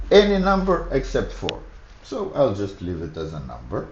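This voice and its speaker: The speaker has a Macedonian accent and a moderate pace. Audible room echo is present. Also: man. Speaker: programming streamer. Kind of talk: live coding tutorial. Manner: halting, thinking aloud.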